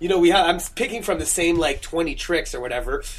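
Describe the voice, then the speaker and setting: The voice shows ordinary pitch variation. There is noticeable background noise behind it. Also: man. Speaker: stage magician. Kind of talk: casual chat. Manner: fast.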